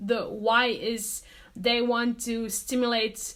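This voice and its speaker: A woman's high-pitched voice with a non-native accent. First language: not English. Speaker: vlogger and artist. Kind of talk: casual vlog talk to camera. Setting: home studio. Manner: hesitant, many fillers.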